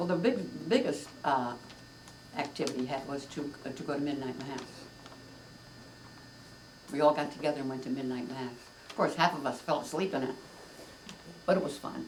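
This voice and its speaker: A woman speaks at a moderate pace with very deep, low pitch. Long, frequent pauses break her speech over noticeable background noise. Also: ordinary pitch variation. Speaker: grandmother. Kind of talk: interview answer.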